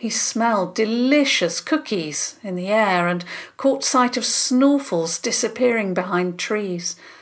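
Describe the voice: Plain reading aloud. The voice just reads.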